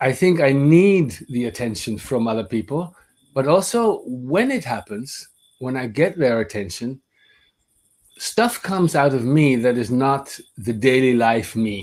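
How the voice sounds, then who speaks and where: A man speaks with a Dutch accent and lively intonation. He leaves long, frequent pauses. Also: medium pitch for a man, moderate pace. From Netherlands, Amsterdam. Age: 50s. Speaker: voice teacher. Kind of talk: webinar lecture. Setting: online webinar.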